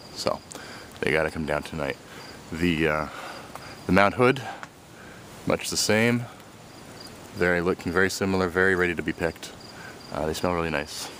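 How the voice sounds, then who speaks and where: With noticeable background noise, a man speaks at a moderate pace in a very deep, low pitch, using ordinary pitch variation and long, frequent pauses. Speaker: home gardener and homebrewer. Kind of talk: casual how-to video. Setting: outdoors in garden.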